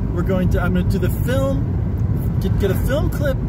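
The speech comes at a fairly slow pace, with loud background noise. The sound is dry, with no echo. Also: man. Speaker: vlogger. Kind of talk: casual vlog chat. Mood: excited, earnest. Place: car. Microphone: phone near.

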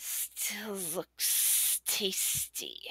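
Raspy and hissing, a female-sounding put-on character voice comes through. Its pitch is medium for a woman. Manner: sly.

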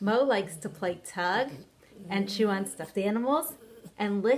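Ordinary pitch movement in a natural voice reading text

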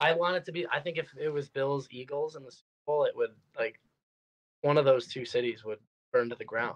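Fairly quick speech from a man with an American accent, long, frequent pauses, ordinary pitch variation and big swings in loudness. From Western New York, Rochester; New York. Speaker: baseball player; podcast guest. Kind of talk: casual chat. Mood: relaxed, friendly. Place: home room. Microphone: video call.

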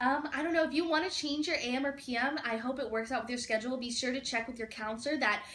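A woman talks loudly at a very fast pace in an American accent. Her pitch is high with ordinary variation, and there is light background noise. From Arizona. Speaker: alumna of technical school, college student. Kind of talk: casual chat. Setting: video call. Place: office. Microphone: webcam.

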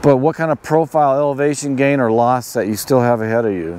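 A man at a fairly quick pace with lively intonation, in a dry sound with no echo. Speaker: outdoor gear reviewer. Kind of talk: tutorial. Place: open country. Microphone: lapel.

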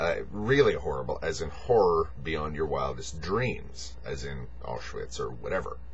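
A man speaking at a fairly slow pace, with faint music in the background. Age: 40s. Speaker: video blogger. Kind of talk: monologue. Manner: halting; rambling. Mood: reflective, earnest. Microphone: webcam.

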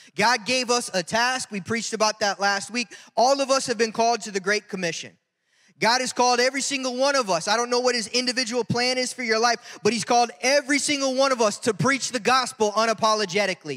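A man's raised, projected voice, bright and sharp, very fast, with ordinary pitch variation, against a quiet background. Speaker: pastor. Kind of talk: sermon. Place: church. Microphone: handheld.

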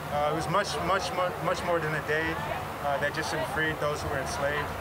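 Loud background noise surrounds a man whose speech moves fairly quickly. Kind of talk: interview answer. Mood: earnest, reflective. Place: street.

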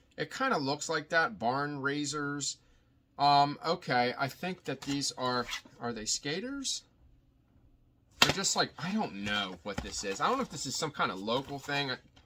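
Against loud background noise, a man speaks at a fairly slow pace. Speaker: online reseller. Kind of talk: casual vlog chat. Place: home room. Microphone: phone near.

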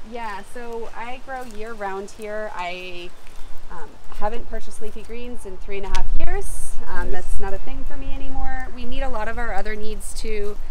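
At a moderate pace, a woman talks with big swings in loudness, the sound dry with no echo and noticeable background noise behind her. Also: ordinary pitch variation. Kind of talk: interview answer. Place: garden.

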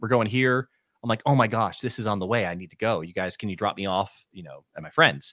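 A man's bright, sharp voice with lively intonation, dry with no echo, over a quiet background. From southern New England. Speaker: musician; guest. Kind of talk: casual interview conversation. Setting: online stream. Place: home room. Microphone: studio mic.

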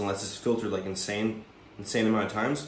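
With audible room echo and light background noise, a man speaks in a somewhat breathy voice. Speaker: fitness vlogger. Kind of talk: casual vlog chat. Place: kitchen. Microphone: phone near.

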